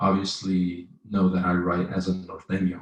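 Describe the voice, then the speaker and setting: A man's fairly low, somewhat breathy voice. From East Dallas, Texas, raised by Mexican family. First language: Spanish. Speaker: poet. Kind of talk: interview. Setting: online live stream. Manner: halting, many fillers.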